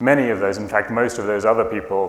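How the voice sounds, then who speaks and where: Audible room echo surrounds a man speaking with a British accent. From UK. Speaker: conference speaker, tech entrepreneur. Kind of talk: conference talk.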